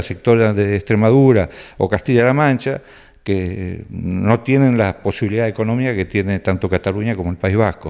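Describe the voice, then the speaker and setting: Over a quiet background, a man talks at a moderate pace in a fairly low pitch with ordinary pitch variation. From Argentina, Rafaela (Santa Fe); Santa Fe, Argentina. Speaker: cook, emigrant. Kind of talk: interview. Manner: hesitant, many fillers. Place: home room. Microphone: handheld.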